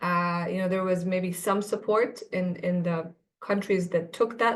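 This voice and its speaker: In an Arabic accent, a woman with a medium-pitched voice speaks at a fairly slow pace against a quiet background. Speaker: policy analyst. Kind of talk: webinar panel discussion. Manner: halting, many fillers and repetitions.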